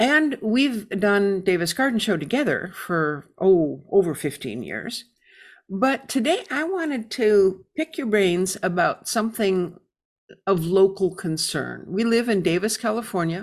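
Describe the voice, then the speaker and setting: A woman with an American accent and a normal speaking voice talks at a fairly slow pace and medium pitch, her intonation lively. The recording is very clean, with a silent background. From Michigan, US. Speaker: radio host. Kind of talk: radio dj patter, warm welcoming host intro. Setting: radio studio broadcast. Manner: friendly, chatty, upbeat.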